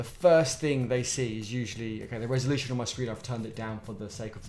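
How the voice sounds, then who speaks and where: A man speaks very fast with a British accent, at a medium pitch with ordinary pitch variation. Music plays in the background, and the room echo is audible. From Britain. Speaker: software developer live-streaming open source coding. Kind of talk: casual live-stream talk to chat. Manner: hesitant, many fillers and repetitions.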